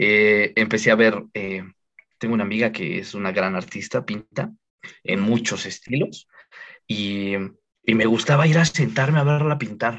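Someone with a Mexican accent talks at a fairly slow pace, with ordinary pitch variation and long, frequent pauses. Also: man, fairly low pitch for a man. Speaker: podcast guest. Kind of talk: casual chat.

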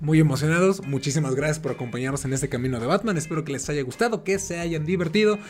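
A man with a Mexican accent, fairly high pitch and ordinary pitch variation, talking at a very fast pace with hardly any pauses. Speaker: podcast host. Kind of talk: casual chat.

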